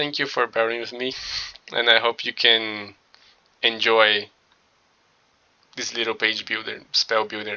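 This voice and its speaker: A man's medium-pitched voice with a non-native accent, at a moderate pace with long, frequent pauses. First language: not English. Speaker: tutorial creator, designer. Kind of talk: tutorial. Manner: halting, many filler words.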